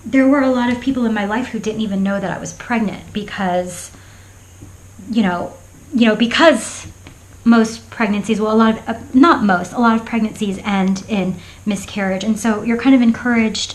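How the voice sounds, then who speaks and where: An American accent comes through with fairly even intonation. There is noticeable background noise and audible room echo. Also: woman. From Florida. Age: 40s. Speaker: craft vlogger. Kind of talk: casual chat. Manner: halting.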